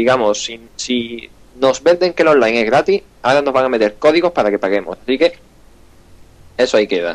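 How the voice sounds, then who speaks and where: A man with an Andalusian accent, medium pitch, a fairly quick pace, lively intonation and long, frequent pauses. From Andalusia, Spain. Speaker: gaming podcast host. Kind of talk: casual chat.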